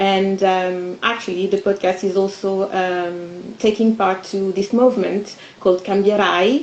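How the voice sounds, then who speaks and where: A woman with a French accent talks at a fairly slow pace with fairly even intonation and hardly any pauses. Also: medium pitch for a woman. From France. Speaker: podcast co-founder. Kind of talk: panel discussion.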